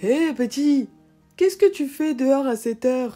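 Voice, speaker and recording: Someone uses a put-on character voice at a moderate pace while faint music plays in the background. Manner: friendly, kindly.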